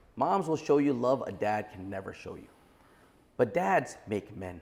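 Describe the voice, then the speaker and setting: Lively in intonation, a man talks in a New York accent. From Brooklyn, New York. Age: 40s. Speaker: entrepreneur. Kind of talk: podcast interview.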